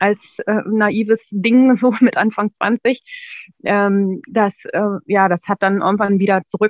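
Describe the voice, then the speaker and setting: Here a woman speaks at a fairly slow pace. Her pitch is fairly high and her intonation fairly even. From northern Germany, near Braunschweig. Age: 30s. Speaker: former coaching client, secretary. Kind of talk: interview testimony. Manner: hesitant, many fillers.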